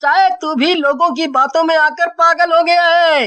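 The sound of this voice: A woman's cartoonish character voice, extremely high in pitch, with fairly even intonation and a moderate pace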